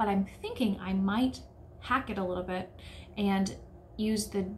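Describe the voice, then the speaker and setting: A woman's medium-pitched voice with an American accent at a moderate pace, plus audible room echo. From United States. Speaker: sewing YouTuber. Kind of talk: casual vlog talk.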